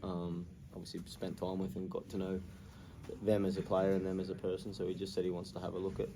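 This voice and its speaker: In an Australian accent, a man speaks with a very deep, low pitch and a dark, mellow tone. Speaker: professional footballer. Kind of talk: post-match interview answer.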